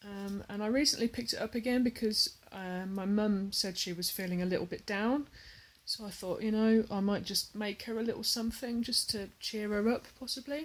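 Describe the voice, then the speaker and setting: A woman with an English accent, fairly high-pitched, at a moderate pace with fairly even intonation. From England. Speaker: hobby vlogger, cross stitcher. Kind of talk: casual vlog talk to camera. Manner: hesitant, many fillers.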